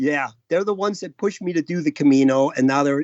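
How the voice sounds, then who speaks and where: This man has a normal speaking voice with an American accent. He talks at a fairly quick pace with a fairly high pitch. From USA. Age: 60s. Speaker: long-distance walker. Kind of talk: interview.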